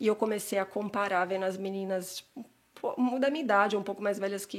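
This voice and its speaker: A woman's medium-pitched voice at a very fast pace, with fairly even intonation. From São Paulo city, Brazil (Santana, North Zone). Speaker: immigration consultant. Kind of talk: casual interview.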